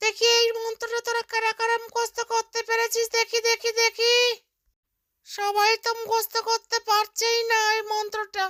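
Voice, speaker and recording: In a cartoonish character voice, a female-sounding speaker goes at a moderate pace with extremely high pitch and monotone, flat intonation. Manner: scolding, stern.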